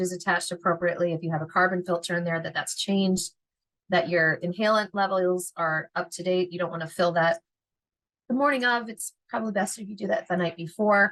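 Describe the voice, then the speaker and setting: At a fairly quick pace, a woman with a medium pitch talks in a Philadelphia accent. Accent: Philadelphia American. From Philadelphia, US. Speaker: veterinary technician educator. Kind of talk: lecture. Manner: fast; animated.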